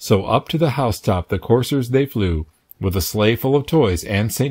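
Against a quiet background, a man talks at a moderate pace in a gentle, sing-song tone with lively intonation. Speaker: read-aloud narrator. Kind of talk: reading aloud a children's Christmas poem, storybook narration. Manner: gentle, rhythmic, sing-song storyteller's cadence. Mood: gentle festive storytelling. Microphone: phone near.

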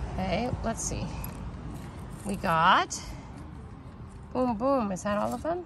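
Over music in the background, a woman talks at a fairly slow pace with lively intonation in a dry sound with no echo. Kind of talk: casual vlog chat. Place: garden. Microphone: phone near.

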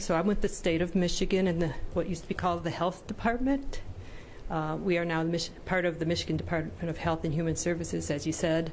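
A woman speaks at a very fast pace and fairly low pitch, with ordinary pitch variation. Her loudness stays very even over light background noise. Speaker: presenter. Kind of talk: presentation. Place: meeting room. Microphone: podium.

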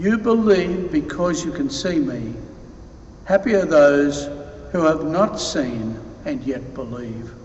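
Light background noise and audible room echo around a man with a high pitch, talking at a very slow pace with long, frequent pauses. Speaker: deacon or priest reading the gospel. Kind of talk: gospel reading at mass. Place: church. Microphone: podium.

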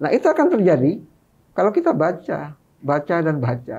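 With a dark, mellow tone, a man speaks at a moderate pace and a fairly high pitch. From Madura, East Java, Indonesia; East Java, Indonesia. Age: 50s. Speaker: author and activist; guest. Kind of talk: interview. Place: studio. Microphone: studio mic.

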